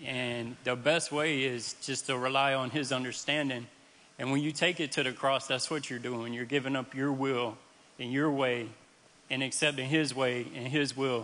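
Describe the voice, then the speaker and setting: Medium in pitch, a man with an American accent speaks in a monotone, flat intonation. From central Florida. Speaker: recovering addict. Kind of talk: testimony. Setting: church stage with audience.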